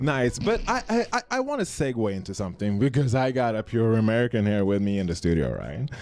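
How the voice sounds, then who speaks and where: A man speaks at a medium pitch and a fairly quick pace, with ordinary pitch variation and hardly any pauses. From Sweden. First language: Swedish. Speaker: radio host. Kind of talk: casual chat. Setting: studio.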